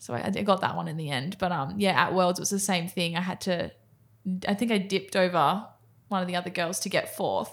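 A woman with an Australian accent speaks at a fairly quick pace with fairly even intonation on a very clean recording with a silent background. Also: medium pitch for a woman. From Australia, Sydney (Cronulla). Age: 20s. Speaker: professional sprinter. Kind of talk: casual interview.

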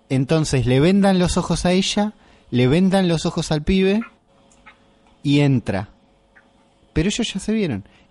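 A man speaks with a Rioplatense accent at a high pitch, his intonation lively and his loudness very even. His pace is fairly slow, broken by long, frequent pauses. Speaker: podcast host. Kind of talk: casual chat. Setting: home kitchen.

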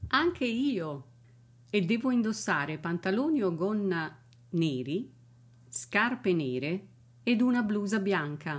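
On a very clean recording with a silent background, a woman speaks at a very slow pace with long, frequent pauses, very wide pitch swings and very even loudness. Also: medium pitch for a woman. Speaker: English teacher. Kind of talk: language lesson.

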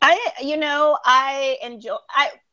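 In a raised, projected voice, a woman speaks with a bright, sharp tone and very wide pitch swings over a quiet background. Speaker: therapist. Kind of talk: casual chat.

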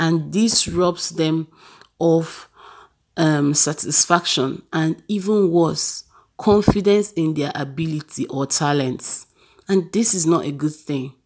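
A woman speaks at a very slow pace. Her voice is fairly low, with ordinary pitch variation. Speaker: podcast host. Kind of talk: solo self-help talk. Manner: halting with repetitions and fillers.

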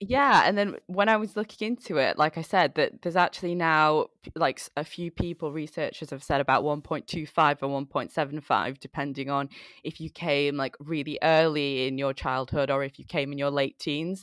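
A woman's voice is very deep and low, with ordinary pitch variation at a moderate pace. The recording is very clean, with a silent background. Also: dry, close sound with no echo. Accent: Mancunian. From Manchester, England. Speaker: mentoring initiative founder. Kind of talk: casual chat.

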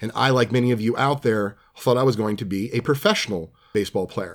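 The voice belongs to a man. It carries an American accent. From New Jersey. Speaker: podcast host, trading card dealer. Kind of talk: casual monologue. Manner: conversational, filler-heavy.

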